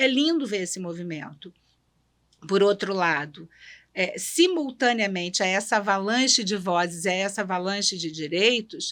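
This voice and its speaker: On a very clean recording with a silent background, a woman with a plain, everyday voice speaks with lively intonation. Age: 60s. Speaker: judge and writer. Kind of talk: podcast conversation. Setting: studio.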